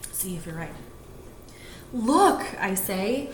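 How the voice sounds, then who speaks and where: Noticeable background noise sits behind a voice that moves at a fairly slow pace with very wide pitch swings. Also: woman. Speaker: teacher. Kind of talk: children's picture book read-aloud.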